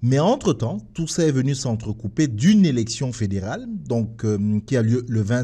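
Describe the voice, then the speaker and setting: Against a quiet background, a man speaks at a moderate pace in a dark, mellow tone that is somewhat breathy. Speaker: radio host. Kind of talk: radio show opening monologue. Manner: halting.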